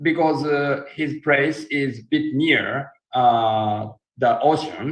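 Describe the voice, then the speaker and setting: A man speaks at a very slow pace with a Japanese accent and fairly even intonation. His pitch is fairly high. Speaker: live stream host. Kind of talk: live stream interview with interpreting. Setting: live stream. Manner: halting, many fillers.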